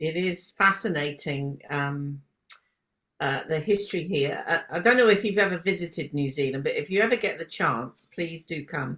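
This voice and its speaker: A woman with a British accent speaks at a moderate pace with lively intonation. Her pitch is fairly low, and the recording is very clean with a silent background. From UK. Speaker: podcast host. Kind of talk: casual interview chat.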